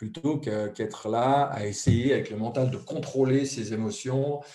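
A man talks with ordinary pitch variation in a dark, mellow tone that is somewhat breathy. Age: 50s. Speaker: author, translator and speaker. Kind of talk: interview.

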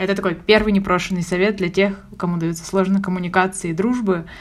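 A woman with an unremarkable speaking voice talks at a fairly quick pace with fairly even intonation. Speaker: podcast co-host. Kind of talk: casual chat.

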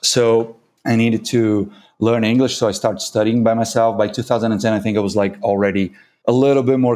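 A man speaks with a Brazilian accent at a medium pitch. His intonation is fairly even, on a very clean recording with a silent background. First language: Portuguese. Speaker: coffee consultant and barista judge. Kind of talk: casual interview.

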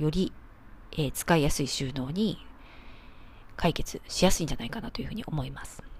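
A woman talks at a fairly quick pace with a fairly low pitch. She sounds somewhat breathy, and the recording is very clean with a silent background. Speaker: architect and home organizing expert, podcast host. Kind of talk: solo podcast talk.

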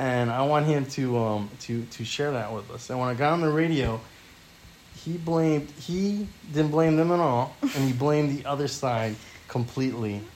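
Noticeable background noise sits behind a man with an American accent and a fairly high pitch for a man. He talks at a moderate pace with ordinary pitch variation. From California. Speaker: podcast guest. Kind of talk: casual chat.

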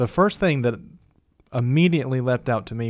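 An ordinary speaking voice at a moderate pace with ordinary pitch variation, on a very clean recording with a silent background. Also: man. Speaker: co-host of a Bible discussion podcast. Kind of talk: casual Bible study discussion.

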